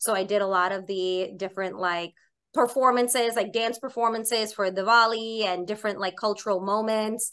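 A woman's plain, everyday voice with an American accent, fairly high in pitch, at a moderate pace with fairly even intonation, against a quiet background. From New York City (Staten Island). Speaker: chef and cookbook author. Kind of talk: interview conversation. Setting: remote call from her home kitchen.

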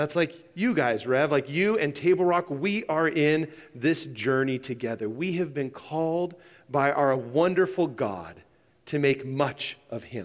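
In an ordinary speaking voice with an American accent, a man talks at a fairly slow pace, his pitch fairly high with ordinary variation. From Idaho, Boise. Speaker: pastor. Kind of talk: sermon. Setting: church.

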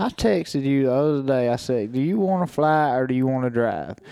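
Very clean with a silent background, the recording captures a man with a plain, everyday voice and lively intonation. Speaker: co-host and turkey hunter. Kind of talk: casual chat.

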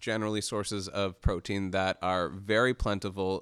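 The recording is very clean with a silent background. A man with a plain, everyday voice and a Canadian accent speaks at a moderate pace. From Canada. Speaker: freelance journalist. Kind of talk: casual interview discussion. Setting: studio.

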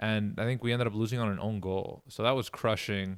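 Heard in a very clean recording with a silent background and a dry, close sound with no echo, a man with an American accent uses a plain, everyday voice, fairly low in pitch, with fairly even intonation. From New York, Queens. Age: 40s. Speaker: professional soccer player. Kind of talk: casual interview. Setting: podcast recording.

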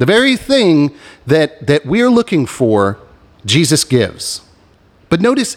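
Dry and close with no echo, a man's voice moves at a fairly slow pace through very wide pitch swings. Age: 40s. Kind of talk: religious podcast monologue. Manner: animated.

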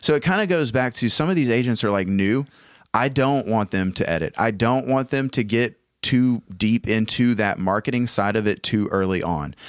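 A man with a Southern US accent speaks at medium pitch and a moderate pace, animated and with lively intonation. His loudness stays very even on a very clean recording with a silent background. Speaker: real estate agent and podcast host. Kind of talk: casual podcast chat. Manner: animated, jokey.

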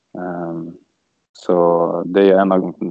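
Very deep and low in pitch, a man speaks with monotone, flat intonation. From Sweden, Örebro. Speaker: ice hockey player. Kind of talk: casual interview.

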